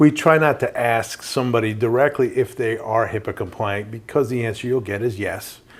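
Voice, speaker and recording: Fairly quick, fairly even delivery from a man with a New York accent and medium pitch. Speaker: compliance company representative. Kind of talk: podcast interview.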